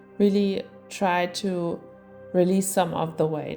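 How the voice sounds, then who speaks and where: A woman at a fairly slow pace with ordinary pitch variation, music in the background. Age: 20s. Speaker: yoga teacher. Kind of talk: tutorial.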